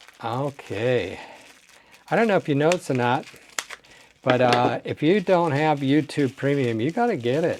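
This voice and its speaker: A man with a fairly high pitch, lively intonation and a moderate pace, long, frequent pauses, and noticeable background noise. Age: 60s. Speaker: toy car collector. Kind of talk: unboxing video. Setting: home desk. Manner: animated.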